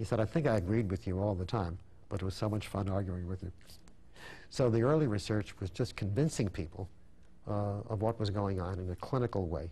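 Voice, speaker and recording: A man with an American accent speaks at a fairly quick pace in a dark, mellow, somewhat breathy voice. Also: fairly low pitch for a man, ordinary pitch variation. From Brooklyn, New York; New York. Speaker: endodontist and dental professor; dental professor. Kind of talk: interview. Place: studio. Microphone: lapel.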